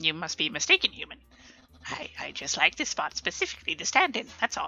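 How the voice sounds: Putting on a character voice, a female-sounding speaker goes fairly quickly at a high pitch with very wide pitch swings.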